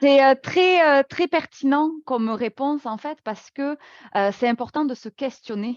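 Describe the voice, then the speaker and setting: A woman's high-pitched voice with a slight southwestern French accent, fairly slow pace, ordinary pitch variation, and a dry, close sound with no echo against a quiet background. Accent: slight southwest French. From southwest France, Toulouse. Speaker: workplace wellbeing speaker. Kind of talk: webinar presentation. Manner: hesitant, many fillers.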